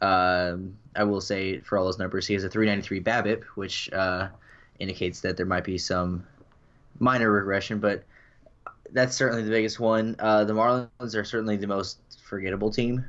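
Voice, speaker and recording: Here is a man with a plain, everyday voice, fairly low in pitch. He moves at a fairly quick pace with fairly even intonation. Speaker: co-host. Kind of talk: casual chat.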